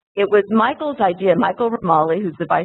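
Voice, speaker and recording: Lively intonation marks a woman talking at a fairly quick pace. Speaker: moderator and foundation association president. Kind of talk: panel introduction. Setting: conference room with live audience, webcast.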